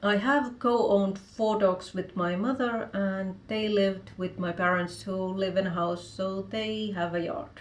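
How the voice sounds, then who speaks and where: Amid noticeable background noise and audible room echo, a woman talks at a moderate pace and medium pitch with ordinary pitch variation. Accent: Finnish. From Finland. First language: Finnish. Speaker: author and vlogger. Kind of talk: casual vlog talk.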